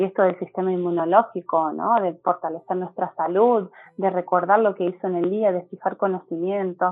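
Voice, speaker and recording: Monotone and flat in intonation, a woman talks at a moderate pace with a medium pitch. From Argentina, Córdoba province. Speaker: teacher and neuroscience educator. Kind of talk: interview conversation. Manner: hesitant, many fillers.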